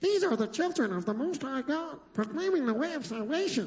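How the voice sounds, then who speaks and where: A put-on character voice, high-pitched, at a fairly quick pace. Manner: eerie.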